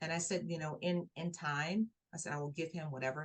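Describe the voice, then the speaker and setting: A woman's voice comes through somewhat breathy. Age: 60s. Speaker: life coach and author. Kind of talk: interview testimony. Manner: repetitive, halting with restarts.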